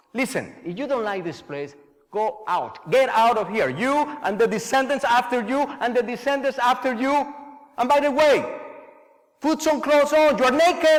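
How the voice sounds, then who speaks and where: With a Colombian accent, a man speaks at an extremely high pitch and a moderate pace, showing ordinary pitch variation and long, frequent pauses. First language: Spanish. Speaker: theatre artist and storyteller. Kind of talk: storytelling performance.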